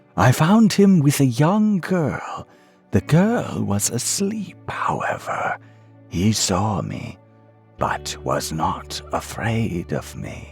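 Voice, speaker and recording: Using a put-on character voice at a medium pitch, a man speaks at a very slow pace over faint music in the background. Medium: read story. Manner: respectful, deferential.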